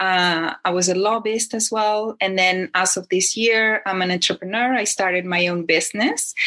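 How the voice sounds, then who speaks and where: In a Spanish accent, a woman speaks at a moderate pace with hardly any pauses, a medium pitch, fairly even intonation and a bright, sharp tone. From Chile. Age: 50s. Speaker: speaker, writer, and tertulia host. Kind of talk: casual interview.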